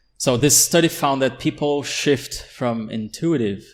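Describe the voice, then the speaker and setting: A man with a Portuguese accent, on a very clean recording with a silent background. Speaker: podcast co-host. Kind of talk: casual chat.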